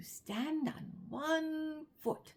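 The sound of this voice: This put-on character voice moves at a very slow pace with vocal fry, lively intonation and a slightly mellow tone. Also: woman, high pitch for a woman.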